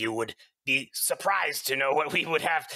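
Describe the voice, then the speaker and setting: A raspy, put-on character voice from a man. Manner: suspicious, pumping for information; broken grammar, curt and probing.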